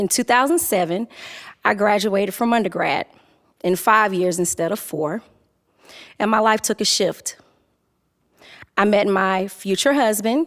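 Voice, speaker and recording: A woman with a Southern US accent talks at a moderate pace and a medium pitch, taking long, frequent pauses. Her loudness stays very even. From Durham, North Carolina. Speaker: technology facilitator. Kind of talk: personal storytelling talk.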